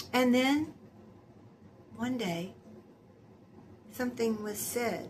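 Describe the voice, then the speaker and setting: Amid noticeable background noise and audible room echo, a woman speaks very slowly with long, frequent pauses, her high pitch showing ordinary variation. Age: 70s. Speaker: lifestyle vlogger. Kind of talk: casual monologue. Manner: conversational, with hesitations.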